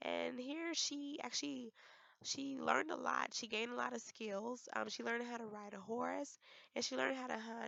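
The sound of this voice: A woman speaks at a fairly slow pace with fairly even intonation and vocal fry. Her pitch is fairly high and her tone fairly bright.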